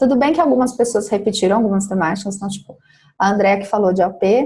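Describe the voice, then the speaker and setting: The woman's voice has a dark, mellow tone. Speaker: psychologist and business mentor. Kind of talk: mentoring feedback session.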